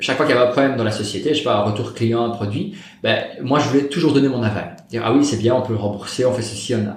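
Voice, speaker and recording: Male speech under noticeable background noise and audible room echo. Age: 30s. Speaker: property investor. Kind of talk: interview. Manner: fast.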